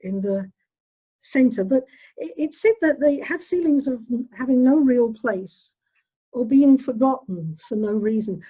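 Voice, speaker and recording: At a fairly slow pace, the speech carries a dark, mellow tone. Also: woman. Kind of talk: retreat talk. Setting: online video. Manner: loud.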